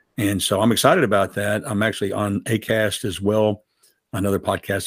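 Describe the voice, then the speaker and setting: A man with a plain, everyday voice and a fairly low pitch talks at a fairly quick pace, captured on a very clean recording with a silent background and a dry, close sound with no echo. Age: 60s. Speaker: podcast host. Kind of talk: interview.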